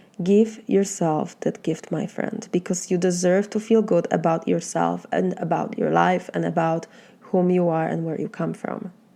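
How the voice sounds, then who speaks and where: In a Polish accent, a woman speaks at a moderate pace with hardly any pauses, using a dark, mellow tone with vocal fry and fairly even intonation. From Poland. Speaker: life coach. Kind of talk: motivational talk.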